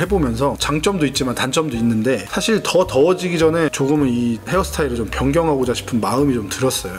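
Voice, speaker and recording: Noticeable background noise behind a man at a fairly quick pace. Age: 30s. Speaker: vlogger. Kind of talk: casual vlog talk. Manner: hesitant, filler-heavy.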